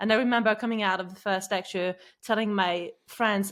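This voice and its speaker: In a very clean recording with a silent background, a woman with a non-native accent speaks at a moderate pace and medium pitch, her intonation flat and monotone. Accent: foreign. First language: not English. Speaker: podcast host, former attorney. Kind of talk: interview podcast.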